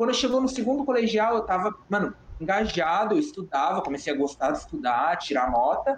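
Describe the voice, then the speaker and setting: A man with a high pitch keeps a fairly quick pace while noticeable background noise continues. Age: 20s. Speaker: 3D generalist artist. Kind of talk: casual chat.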